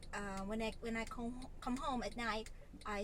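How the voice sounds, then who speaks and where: Against audible room echo, a woman speaks at a fairly high pitch with monotone, flat intonation. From Philippines, Lipa City, Batangas. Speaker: vlogger and online English tutor. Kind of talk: casual vlog.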